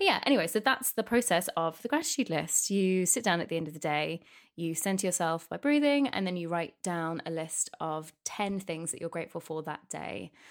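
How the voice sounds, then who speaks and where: A woman with a British accent speaks with hardly any pauses on a very clean recording with a silent background. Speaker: podcast host sharing chronic fatigue experiences. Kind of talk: personal monologue podcast. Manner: halting, with false starts.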